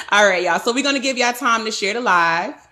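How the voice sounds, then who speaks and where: The voice belongs to a woman and is loud. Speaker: podcast host. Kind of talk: casual chat. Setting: live stream.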